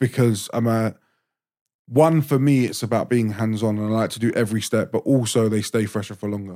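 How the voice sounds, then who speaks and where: In a very clean recording with a silent background, a man with a London accent speaks at a fairly quick pace, his tone dark and mellow, his pitch medium and his intonation fairly even. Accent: London English with Turkish-Cypriot heritage. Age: 30s. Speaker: chef. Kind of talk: casual chat. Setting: studio. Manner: blunt, profane.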